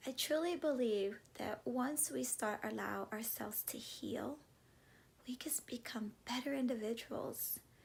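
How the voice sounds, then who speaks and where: A woman talks with a Spanish accent in a warm tone. She keeps a fairly slow pace. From US, Cuban-American family. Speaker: vlogger and classroom teacher. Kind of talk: motivational vlog talk. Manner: warm, conversational.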